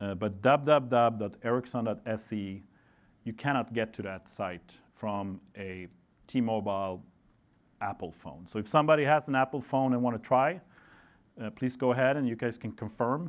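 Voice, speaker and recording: A man with a Swedish accent, medium in pitch, at a moderate pace with ordinary pitch variation, on a very clean recording with a silent background. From Sweden. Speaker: network engineer presenter. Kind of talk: conference talk. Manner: casual with frequent fillers.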